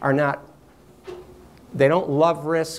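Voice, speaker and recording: Here a man is talking. His pace is fairly slow. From New York. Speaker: workshop presenter. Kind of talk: lecture. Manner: too quiet.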